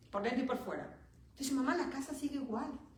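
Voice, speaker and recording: Noticeable background noise and audible room echo fill the recording. The speech moves at a moderate pace. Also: woman. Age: 60s. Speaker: preacher. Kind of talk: sermon.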